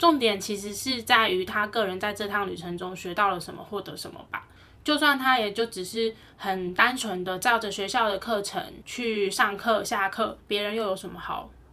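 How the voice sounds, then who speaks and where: A woman speaks at a medium pitch and moderate pace, with a bright, sharp tone. Her pitch variation is ordinary, but her loudness swings widely. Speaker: podcast co-host. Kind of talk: casual chat.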